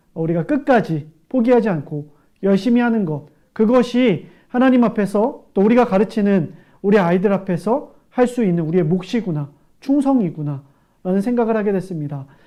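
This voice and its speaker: The delivery is fairly quick, with the background staying quiet. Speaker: live show host. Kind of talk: closing remarks of live seminar broadcast. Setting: live stream with chat. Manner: frequent filler 'eo' hesitations.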